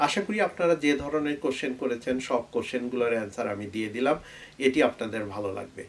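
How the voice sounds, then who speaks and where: A man with lively intonation, medium pitch and a normal speaking voice. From Bangladesh, Bogura district. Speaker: YouTube tech educator, software QA specialist. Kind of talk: talk to camera, channel Q&A.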